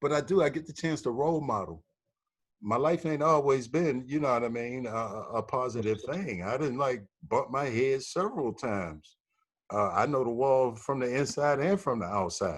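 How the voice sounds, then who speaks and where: At a moderate pace, a man speaks in a normal speaking voice of medium pitch with lively intonation, on a very clean recording with a silent background. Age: 60s. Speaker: fatherhood program operator. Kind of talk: panel discussion.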